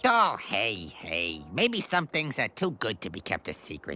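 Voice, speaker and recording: A low-pitched cartoonish character voice at a moderate pace. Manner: gruff, streetwise.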